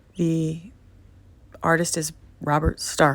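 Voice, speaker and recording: A woman is speaking. Her words come out mumbled. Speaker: vlogger with neurological disorder. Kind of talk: reflective monologue. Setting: at home, recorded message. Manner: low, mumbling.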